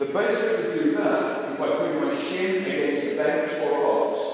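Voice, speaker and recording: At a moderate pace, a man speaks in strong room echo with light background noise. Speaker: fitness coach. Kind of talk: tutorial. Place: gym. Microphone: camera far.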